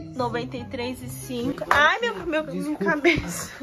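Music sits in the background. A woman speaks at a moderate pace. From Brazil (São Paulo), moved to the US at 11. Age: 20s. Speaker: vlogger. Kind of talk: casual talk to camera. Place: home room. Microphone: phone near.

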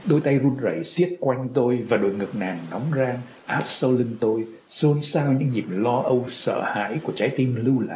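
In an unforced reading voice, the speaker shows ordinary pitch variation.

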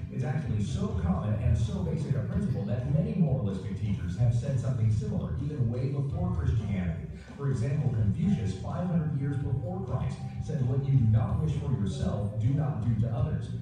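A man speaking fairly quickly in strong room echo, with clear music in the background. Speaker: pastor. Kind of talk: sermon. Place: church.

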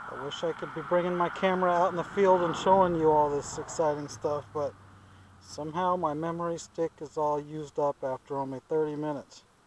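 A man at a moderate pace, with fairly even intonation, a dry sound with no echo and light background noise. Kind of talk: casual vlog chat. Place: open country. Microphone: phone near.

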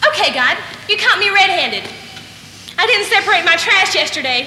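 A woman projects a raised voice at a moderate pace with very wide pitch swings, amid light background noise and audible room echo. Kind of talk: comic theatrical monologue. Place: stage. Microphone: camera far.

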